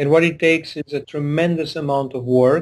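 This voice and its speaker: A man speaks slowly with a Hungarian accent and fairly even intonation. His pitch is fairly high, and his pace is fairly slow. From Transylvania, Romania. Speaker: tech company CEO. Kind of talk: interview.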